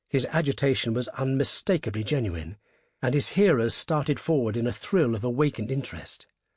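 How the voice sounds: What you hear is a natural reading voice.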